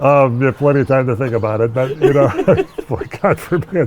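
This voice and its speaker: Over noticeable background noise, a man talks with an American accent at a medium pitch. His intonation is lively. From Minneapolis, Minnesota. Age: 60s. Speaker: longtime local resident. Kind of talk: casual interview conversation. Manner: halting, many false starts.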